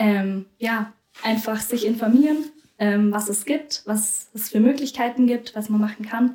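A woman speaks at a fairly slow pace. Her pitch is fairly high, and her intonation stays fairly even. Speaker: volunteer after school. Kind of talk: casual interview.

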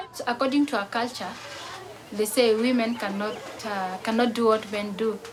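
Fairly high-pitched woman at a moderate pace, with fairly even intonation and noticeable background noise. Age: 20s. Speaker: refugee athlete. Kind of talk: interview.

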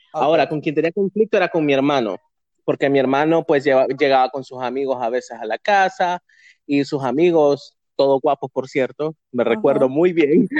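Against a quiet background, a man with a normal speaking voice talks at a moderate pace, fairly high in pitch, with ordinary pitch variation. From Honduras, San Pedro Sula. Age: 30s. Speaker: community figure. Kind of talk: casual interview.

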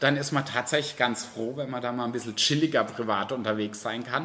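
Noticeable background noise accompanies a man whose pitch moves in an ordinary way. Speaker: drag queen entertainer. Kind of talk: interview. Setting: bar.

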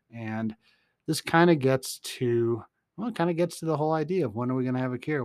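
A man speaks at a fairly quick pace in a normal speaking voice, pitched at a medium level. The recording is very clean, with a silent background and a dry, close sound with no echo. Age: 50s. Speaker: podcast host and research scientist. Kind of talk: casual solo podcast monologue on science. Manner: rambling with frequent fillers and laughs.

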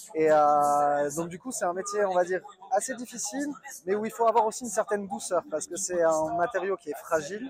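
Lively intonation runs through a man's high-pitched voice. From southwestern France (Bordeaux). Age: 30s. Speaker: marble mason. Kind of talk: interview. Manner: halting.

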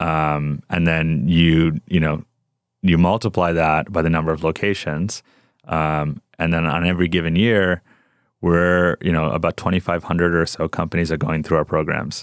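A man with a New York accent, very deep low pitch, fairly even intonation and very even loudness at a moderate pace, in a very clean recording with a silent background and a dry, close sound with no echo. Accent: general American, New York. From New York (Rockland County), Indian family. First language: South Indian language. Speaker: venture capital investor. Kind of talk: interview. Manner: many fillers, relaxed.

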